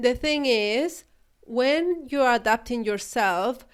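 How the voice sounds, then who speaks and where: A woman speaks with a Chilean Spanish accent on a very clean recording with a silent background. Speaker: podcast host and spiritual business coach. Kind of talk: solo podcast talk. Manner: hesitant, with fillers and repetitions.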